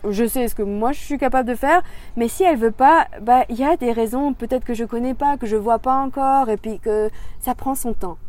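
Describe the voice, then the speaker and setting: Her pitch is high, with ordinary variation. The woman speaks at a moderate pace. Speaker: hypnotherapist. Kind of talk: interview. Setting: outdoors. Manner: animated.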